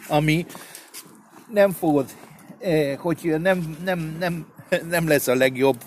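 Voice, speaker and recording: Very slow speech from a man with a fairly high pitch, ordinary pitch variation, long and frequent pauses, and noticeable background noise. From Argentina, Buenos Aires. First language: Spanish (speaking Hungarian). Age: 60s. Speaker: chef. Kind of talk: casual chat. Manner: halting.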